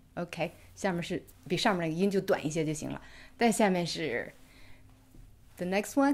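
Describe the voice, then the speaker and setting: With a Chinese accent and a fairly low pitch, the woman speaks at a fairly quick pace but leaves long, frequent pauses. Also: lively intonation. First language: Mandarin Chinese. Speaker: English pronunciation teacher; co-host teacher. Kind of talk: tutorial. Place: home room.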